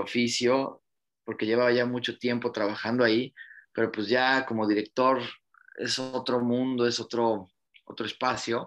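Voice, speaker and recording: A man at medium pitch, speaking at a fairly slow pace against a quiet background. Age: 40s. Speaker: film director and producer. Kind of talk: interview.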